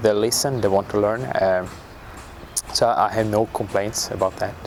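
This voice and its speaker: A man with a fairly low pitch speaks at a moderate pace amid noticeable background noise. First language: not English. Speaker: national football team coach. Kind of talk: interview. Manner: halting.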